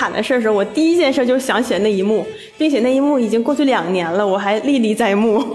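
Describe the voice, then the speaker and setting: Speaking at a very fast pace with lively intonation and an animated tone, a woman keeps her fairly high voice at a very even loudness amid audible room echo and noticeable background noise. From Northeast China. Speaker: office worker. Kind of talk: casual chat.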